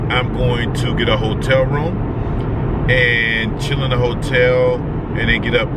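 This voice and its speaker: Loud background noise runs under a man's voice. The sound itself is dry, with no echo. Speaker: vlogger on road trip. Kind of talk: casual vlog chat. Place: car. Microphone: phone near.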